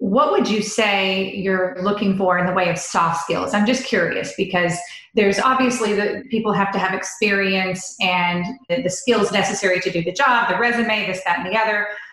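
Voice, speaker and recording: Noticeable background noise sits behind a woman talking at a moderate speed in a medium pitch. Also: fairly even intonation. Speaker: podcast host. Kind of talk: casual interview.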